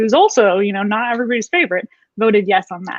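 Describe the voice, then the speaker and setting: An animated woman at a fairly high pitch and fairly quick pace. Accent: Californian. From northern California. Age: 30s. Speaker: political candidate. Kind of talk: interview.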